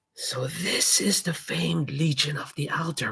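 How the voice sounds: A man's raspy, fairly high-pitched put-on character voice. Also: moderate pace.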